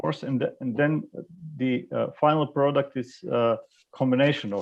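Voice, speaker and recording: The speaker has a Croatian accent and talks at a moderate pace with ordinary pitch variation. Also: man, medium pitch for a man. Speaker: e-learning expert. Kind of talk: panel discussion. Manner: halting, many fillers.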